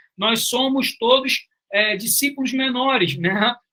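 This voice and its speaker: A man with a bright, sharp tone uses a raised, projected voice and ordinary pitch variation. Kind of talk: online lecture.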